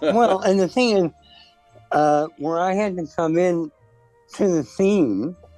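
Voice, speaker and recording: Music plays in the background as a man talks very slowly in a high voice with ordinary pitch variation. His speech has long, frequent pauses. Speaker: costume designer. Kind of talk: interview answer. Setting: phone line.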